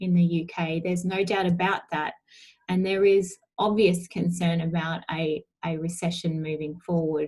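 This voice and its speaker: Somewhat breathy, a woman with an Australian accent speaks at a fairly slow pace. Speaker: allied health professional presenting a webinar. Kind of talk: webinar presentation. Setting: webinar.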